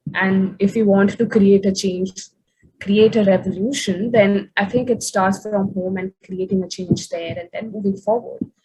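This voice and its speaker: Speaking at a moderate pace, a woman has a medium pitch, a dark, mellow tone, a somewhat breathy quality and monotone, flat intonation. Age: young. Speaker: youth activist moderating panel. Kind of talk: panel discussion moderation.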